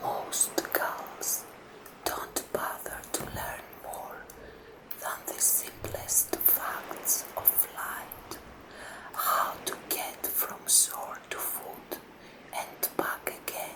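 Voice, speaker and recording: The speaker whispers at a very slow pace. Background noise is noticeable. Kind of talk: ASMR story narration, audiobook-style reading. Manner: soft-spoken, relaxing.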